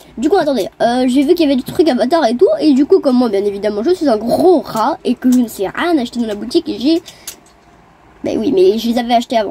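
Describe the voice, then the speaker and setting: This woman's voice is high in pitch with lively intonation. Noticeable background noise is present. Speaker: gaming video creator. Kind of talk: gameplay commentary. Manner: fast; animated.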